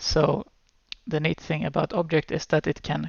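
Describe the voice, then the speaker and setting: The speaker talks at a fairly slow pace. There is a Swedish accent. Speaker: programming teacher. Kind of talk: tutorial. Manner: hesitant, many fillers.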